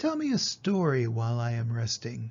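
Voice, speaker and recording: With a low-to-middle pitch, the speaker performs a put-on character voice. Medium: read story.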